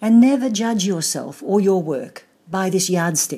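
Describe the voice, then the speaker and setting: Lively intonation from a woman with an Australian accent, dark and mellow in tone, at a moderate pace. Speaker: artist and author. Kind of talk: personal account.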